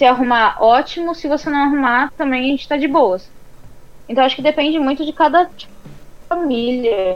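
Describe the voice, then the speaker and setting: Loudness swings widely as the speech keeps a moderate pace and ordinary pitch variation. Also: woman, high pitch for a woman. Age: 20s. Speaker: podcast co-host. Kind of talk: casual chat. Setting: live stream.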